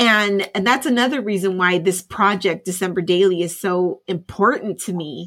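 A woman with an ordinary speaking voice speaks at medium pitch and a moderate pace, with ordinary pitch variation. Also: very clean recording, silent background. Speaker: podcast co-host. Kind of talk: casual chat.

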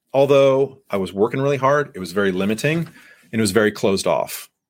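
A man with an unremarkable speaking voice, ordinary pitch variation and a fairly quick pace. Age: 40s. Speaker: sales podcast host and coach. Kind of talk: live podcast monologue. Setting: livestream on LinkedIn with online audience.

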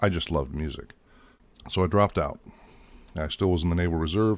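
Ordinary pitch variation comes through a very clean recording with a silent background. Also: man. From US Midwest (Ohio, Michigan), moved around incl. Georgia, Alabama. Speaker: podcast host, psychology doctoral student, Navy veteran. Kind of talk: personal monologue.

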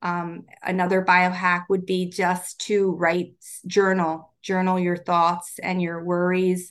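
A woman with a Baltimore accent, very slow and monotone with flat intonation, over a quiet background. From Baltimore, US. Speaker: wellness coach. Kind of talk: interview.

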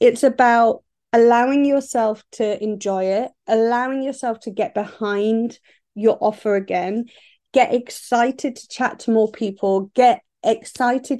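A woman with a southern English accent, a fairly high pitch, a dark, mellow tone and fairly even intonation, at a fairly slow pace over a quiet background. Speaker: business coach. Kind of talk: solo podcast monologue. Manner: casual, with fillers and laughs.

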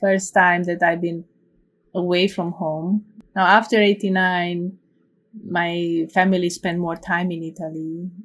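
In a very clean recording with a silent background, a woman with a fairly low pitch speaks very slowly in a monotone, flat intonation with long, frequent pauses. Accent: Romanian. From Romania, Cluj-Napoca (Transylvania). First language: Romanian. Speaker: computer science professor. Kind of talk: oral history interview.

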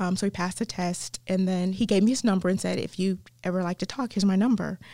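On a very clean recording with a silent background, a woman with a Southern accent talks at a very fast pace in a dark, mellow tone, her medium pitch held in fairly even intonation. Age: 50s. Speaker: chaplain and women's ministry leader. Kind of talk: casual interview.

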